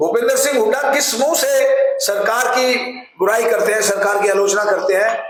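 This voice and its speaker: A man talks with lively intonation amid audible room echo. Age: 70s. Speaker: politician. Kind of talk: press interview.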